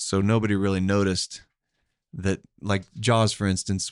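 In a very clean recording with a silent background and a dry, close sound without echo, a man with an Oklahoma accent talks at a fairly low pitch in a monotone, flat way. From Tulsa, Oklahoma. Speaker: podcast co-host. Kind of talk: casual chat.

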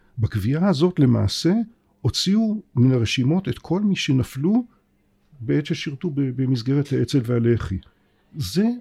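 Somewhat breathy and dark, mellow in tone, a man speaks fairly slowly at a fairly high pitch with very wide pitch swings. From Israel. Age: 60s. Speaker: political science professor. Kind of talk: interview.

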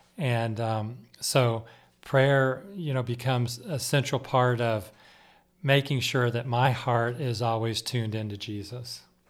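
Fairly slow and with fairly even intonation, a man talks. His is an unremarkable speaking voice, medium in pitch. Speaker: prayer team member. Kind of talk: casual chat.

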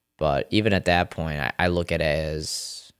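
A man's very deep, low voice with vocal fry and an American accent, ordinary pitch variation, and a very clean recording with a silent background. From US, Rochester, New York area. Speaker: natural bodybuilder and personal trainer. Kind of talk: casual interview. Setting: studio. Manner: animated.

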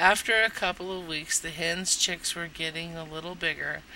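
The speaker has an unremarkable speaking voice with an American accent. The pace is fairly quick. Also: woman. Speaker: podcast host and storyteller. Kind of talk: reading aloud a nostalgic childhood memoir, scripted narration.

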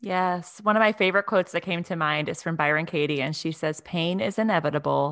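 An ordinary speaking voice from a woman, fairly low in pitch with ordinary pitch variation, at a fairly quick pace with hardly any pauses, against a quiet background. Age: 30s. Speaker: podcast host. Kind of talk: casual interview; scripted intro.

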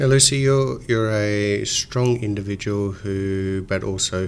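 Speaking with an Australian accent, a man uses a fairly low pitch, ordinary pitch variation and a moderate pace. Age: 50s. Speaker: financial adviser podcast host. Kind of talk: interview.

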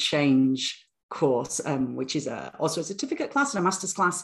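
In a British accent, a woman talks with a very deep, low pitch. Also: quiet background. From northern England, Bradford. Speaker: university lecturer and author. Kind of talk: podcast interview.

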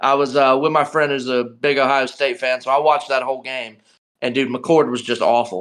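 A man's fairly high, plain, everyday voice with an American accent, over a quiet background. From North Carolina (Charlotte). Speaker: sports podcast guest. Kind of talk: casual chat.

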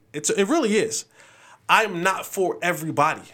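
On a very clean recording with a silent background, a man with a high pitch projects a raised voice in a bright, sharp tone at a moderate pace. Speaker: sports talk host. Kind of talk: pep talk, motivational sign-off; casual sports commentary monologue. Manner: animated, punchy, charismatic.

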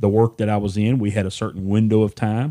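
A man with an East Texas accent, fairly low pitch and a dark, mellow tone, in a dry, close sound with no echo over a quiet background. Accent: East Texas Southern US. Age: 50s. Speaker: podcast guest, host's father. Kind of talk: casual chat.

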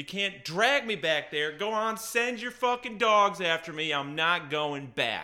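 Heard on a very clean recording with a silent background, a man speaks at a moderate pace. His bright, sharp tone carries vocal fry and very wide pitch swings. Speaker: podcast host. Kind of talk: casual monologue. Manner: hitting K sounds hard.

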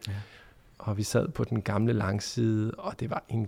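Fairly low-pitched, dark and mellow male voice at a moderate pace, with fairly even intonation and a very clean recording over a silent background. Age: 30s. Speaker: journalist and podcast host. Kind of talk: interview conversation. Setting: empty church.

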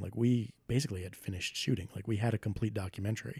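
The voice is somewhat breathy with a dark, mellow tone and ordinary pitch variation, heard in a dry, close sound with no echo. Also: man. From Rhode Island, US. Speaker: filmmaker. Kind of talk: casual chat. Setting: home studio, in person.

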